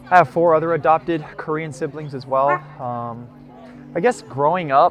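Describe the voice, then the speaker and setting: Over music in the background, a man with an American accent talks at a fairly high pitch with ordinary pitch variation. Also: moderate pace, big swings in loudness. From US, Colorado (Centennial). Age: 20s. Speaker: interviewee sharing personal story. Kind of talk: personal testimony. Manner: hesitant, many fillers.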